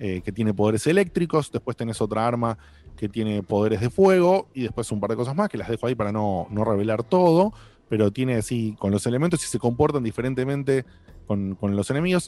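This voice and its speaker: In a Rioplatense accent, a man speaks fairly quickly at a medium pitch, with lively intonation and a dark, mellow tone. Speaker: podcast host. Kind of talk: casual chat.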